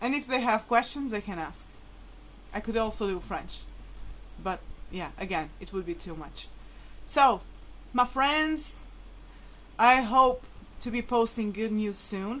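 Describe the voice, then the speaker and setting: A woman with a Portuguese accent speaks at a fairly slow pace in a fairly high pitch, her lively intonation and big swings in loudness broken by long, frequent pauses. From Portugal, Braga. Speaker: vlogger. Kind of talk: personal vlog appeal. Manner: casual, filler-heavy.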